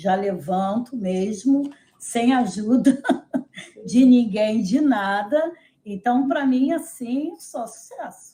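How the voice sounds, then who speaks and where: A fairly high-pitched woman's voice at a very slow pace with lively intonation. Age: 70s. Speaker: nutrition client. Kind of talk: testimonial interview.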